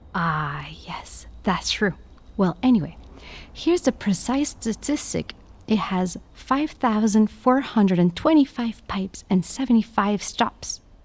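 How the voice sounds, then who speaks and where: Somewhat breathy, a woman talks at a fairly slow pace. Her medium pitch makes very wide swings. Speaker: audio guide narrator. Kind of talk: scripted narration. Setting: inside a basilica.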